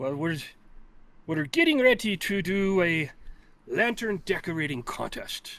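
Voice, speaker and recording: Over a silent background in a very clean recording, a man uses a put-on character voice, high-pitched and at a fairly slow pace. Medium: actual play.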